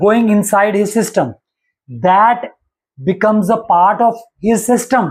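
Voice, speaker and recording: A man with a Punjabi accent speaks in a high pitch at very even loudness. He takes long, frequent pauses. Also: fairly even intonation, fairly slow pace. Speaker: astrology teacher. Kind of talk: lecture. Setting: live stream.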